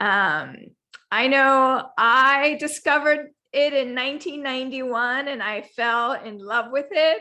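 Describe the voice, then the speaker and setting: A raised, projected voice with a bright, sharp tone, ordinary pitch variation, big swings in loudness and a fairly slow pace. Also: woman. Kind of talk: interview host, casual conversation.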